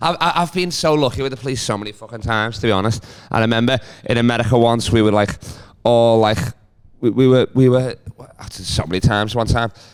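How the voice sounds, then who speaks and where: A man with a Liverpool accent talks at a very fast pace, broken by long, frequent pauses. His medium-pitched voice has ordinary pitch variation. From Liverpool, England. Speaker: comedian. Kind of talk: casual chat.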